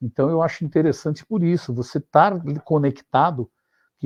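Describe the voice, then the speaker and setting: Somewhat breathy speech unfolds at a moderate speed. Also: man. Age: 60s. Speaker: finance executive and consultant. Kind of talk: interview. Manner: halting, many fillers and repetitions.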